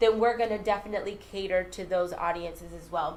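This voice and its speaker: Audible room echo surrounds a woman speaking at a fairly quick pace. Her intonation is fairly even. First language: Spanish. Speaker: social media host. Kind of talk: live show chat. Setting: Facebook live stream.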